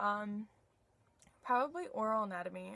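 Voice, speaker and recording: A woman's voice at a medium pitch with ordinary pitch variation. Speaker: dental hygiene student vlogger. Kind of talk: casual Q&A vlog. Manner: halting, filler-heavy.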